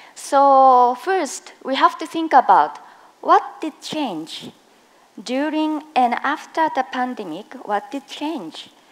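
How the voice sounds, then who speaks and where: A woman with a strong Japanese accent speaks very slowly in a high voice, with lively intonation and big swings in loudness. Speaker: occupational safety and health specialist. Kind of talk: conference presentation. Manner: slow, deliberate; hesitant, many fillers.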